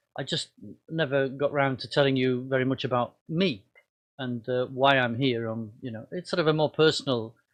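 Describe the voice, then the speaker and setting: In a northern English accent, a man speaks at a fairly quick pace and medium pitch with ordinary pitch variation, the background quiet. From northern England, Cumbria and Wigan. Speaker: pastor. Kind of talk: personal talk to congregation. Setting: video recording. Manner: halting, many fillers.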